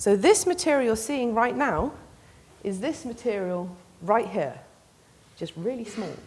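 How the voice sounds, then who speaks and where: A woman with an English accent speaks fairly slowly in a somewhat breathy, fairly high voice, with very wide pitch swings and long, frequent pauses. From England. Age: young. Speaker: PhD researcher in mechanical engineering. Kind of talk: public science talk.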